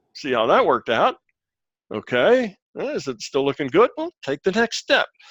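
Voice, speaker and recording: A high-pitched man's voice with very wide pitch swings, dry and close with no echo. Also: moderate pace. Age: 70s. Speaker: physicist and consciousness teacher. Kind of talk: Q&A group discussion. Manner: conversational, advisory.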